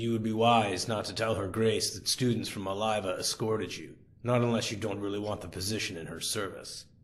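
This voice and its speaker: Putting on a raspy character voice, a man speaks fairly low and fairly quickly. His intonation stays fairly even. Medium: read story.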